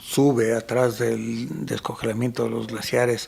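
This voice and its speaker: Fairly slowly paced talk against noticeable background noise. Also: man. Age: 60s. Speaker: photographer and mountain guide. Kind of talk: casual chat.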